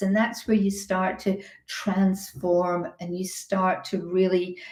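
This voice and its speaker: A woman's voice, somewhat breathy, carries a dark, mellow tone. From Scotland. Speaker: health and business coach. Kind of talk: webinar presentation. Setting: online webinar. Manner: hesitant, many fillers and repeated words.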